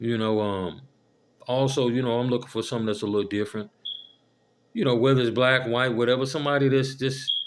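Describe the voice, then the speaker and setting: With long, frequent pauses between very fast stretches, a man speaks at a medium pitch with fairly even intonation. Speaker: vlogger. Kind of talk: casual monologue. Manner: monotone, cheerful.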